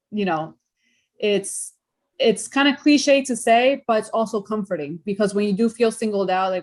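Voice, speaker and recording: A woman with a Spanish accent, fairly high in pitch, at a moderate pace. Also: ordinary pitch variation. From New York, Hudson Valley (part of childhood in Peru). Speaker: interview guest. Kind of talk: interview.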